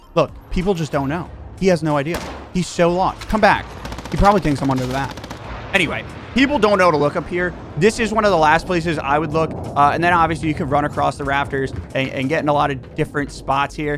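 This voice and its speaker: This man's very fast speech, fairly high in pitch with ordinary variation, comes through noticeable background noise. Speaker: gaming youtuber. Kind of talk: gameplay tutorial. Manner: casual, with filler words.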